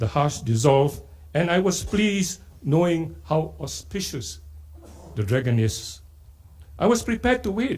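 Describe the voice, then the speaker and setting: In a Malaysian accent, a man speaks fairly slowly in a dark, mellow, somewhat breathy voice, his fairly high pitch swinging very widely. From Singapore. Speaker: poet. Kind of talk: literary festival talk with poetry reading.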